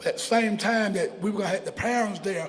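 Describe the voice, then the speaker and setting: Here a man is talking. Background noise is noticeable. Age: 60s. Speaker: mayoral candidate. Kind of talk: interview. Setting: bar with audience.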